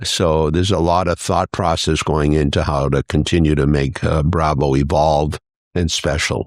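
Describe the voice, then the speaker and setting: A man's very deep, low voice comes through dry and close with no echo, at a moderate pace and very even loudness. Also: fairly even intonation. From New Hampshire. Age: 70s. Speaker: business owner. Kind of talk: casual chat.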